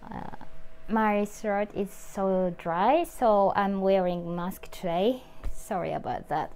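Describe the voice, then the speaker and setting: A woman at a very slow pace, with music in the background. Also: ordinary pitch variation. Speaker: YouTuber, model and actress. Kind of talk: casual talk to camera. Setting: speaking through a face mask. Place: home room. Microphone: phone near.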